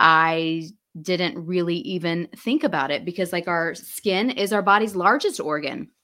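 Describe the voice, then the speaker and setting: A woman with an American accent, a fairly low pitch, a bright, sharp tone, lively intonation and a fairly slow pace. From US South, Alabama/Florida. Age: 40s. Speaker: skincare entrepreneur. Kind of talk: interview. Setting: video call.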